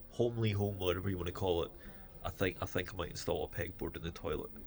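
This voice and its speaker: A man with a Scottish accent at a moderate pace. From Scotland. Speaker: vlogger. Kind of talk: casual vlog chat. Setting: in a store.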